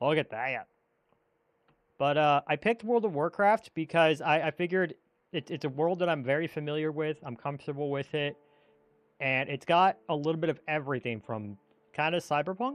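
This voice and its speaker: Fairly quick speech broken by long, frequent pauses, with music in the background. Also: man, fairly high pitch for a man, ordinary pitch variation. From United States. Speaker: Minecraft streamer. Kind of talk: casual live stream chat while building. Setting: live stream. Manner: casual, halting with repetitions.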